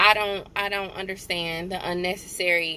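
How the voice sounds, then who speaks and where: A woman speaks loudly with a bright, sharp tone. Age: 30s. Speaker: social work student and vlogger. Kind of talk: casual vlog monologue.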